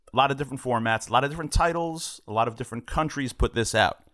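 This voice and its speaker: A man speaks in a normal speaking voice at a medium pitch, with fairly even intonation. The recording is very clean, with a silent background. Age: middle-aged. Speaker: film distributor and producer. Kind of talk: casual chat.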